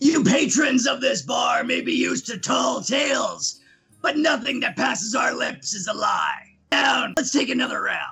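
Shouting in a raspy, put-on character voice at a moderate pace, the speaker is heard over music in the background. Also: man, extremely high pitch for a man. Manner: commanding.

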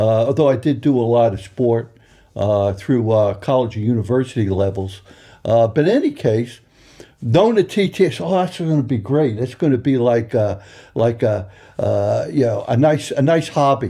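A man with a New York accent speaks at medium pitch and a moderate pace, his tone dark, mellow and somewhat breathy. His intonation is lively, and the background is quiet. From Long Island, New York. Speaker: racing sponsor. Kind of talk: interview. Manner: halting, many fillers.

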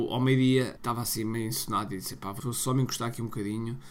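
Talking at a very fast pace, a man with a European Portuguese accent is heard with audible room echo. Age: 40s. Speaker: podcast host, entrepreneur and marketer. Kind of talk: casual solo podcast talk. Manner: energetic.

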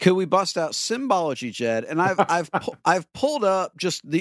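Lively intonation in a natural reading voice

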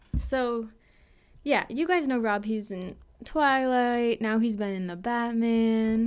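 Talking at a fairly slow speed, a woman keeps her pitch variation ordinary. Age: 20s. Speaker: podcast co-host. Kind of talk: casual chat. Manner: animated.

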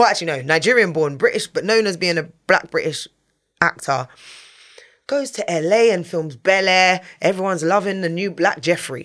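Recorded very cleanly against a silent background, a woman with a London accent speaks at a medium pitch and moderate pace with lively intonation. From England. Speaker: TV and radio presenter. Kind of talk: casual interview. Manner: animated.

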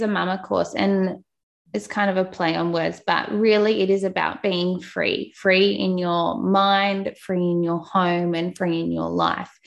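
A woman speaks with an Australian accent at a medium pitch. Her pace is fairly slow. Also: hardly any pauses. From Australia, Newcastle NSW. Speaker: podcast host and mother. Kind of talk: casual interview, personal testimony. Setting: remote call. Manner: warm, chatty.

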